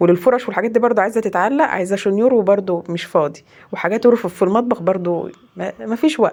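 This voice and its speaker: A woman's medium-pitched voice at a fairly quick pace with lively intonation. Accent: Egyptian. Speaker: home vlogger, mother. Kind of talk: casual vlog narration.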